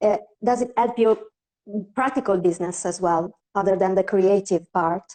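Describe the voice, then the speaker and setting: Her tone is dark and mellow as the woman talks with ordinary pitch variation. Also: medium pitch for a woman, moderate pace. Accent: non-native. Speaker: portrait photographer. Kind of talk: interview questions.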